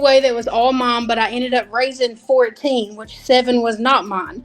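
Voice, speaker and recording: A woman with a Southern accent speaks at a moderate pace in a high pitch. Music plays in the background. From Kentucky. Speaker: nail technician. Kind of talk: interview.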